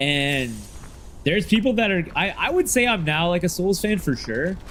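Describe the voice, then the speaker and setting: A loud, high-pitched man at a moderate pace, with very wide pitch swings. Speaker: gaming streamer. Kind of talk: casual livestream chat.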